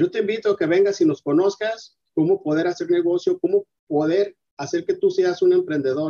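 A man talks at a moderate pace with very even loudness, in a dry, close sound with no echo. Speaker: entrepreneur, detergent manufacturer. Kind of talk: interview. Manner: halting, repeats words.

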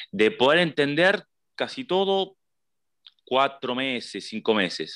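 A man with a Rioplatense accent speaks in a bright, sharp tone with ordinary pitch variation, the sound dry and close with no echo and the background quiet. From Buenos Aires, Argentina. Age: 20s. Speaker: emigrant interviewee. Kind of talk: casual interview. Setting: video call. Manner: halting.

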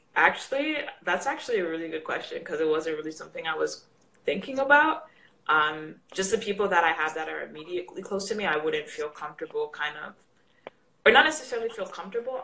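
Delivered at a very fast pace, the speech swings widely in pitch and lurches between loud and soft, over noticeable background noise. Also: woman. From Canada. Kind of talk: casual live chat. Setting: video call live session.

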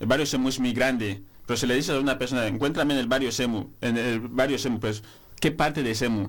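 A man talks at a very fast pace with fairly even intonation, and audible room echo surrounds his voice. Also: medium pitch for a man. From Equatorial Guinea. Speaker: master's student, journalist. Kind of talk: radio panel discussion.

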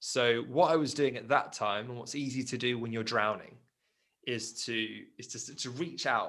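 A man with a southern English accent speaks in a bright, sharp tone. His pitch varies in an ordinary way. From England, Surrey. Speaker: life coach. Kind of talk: interview.

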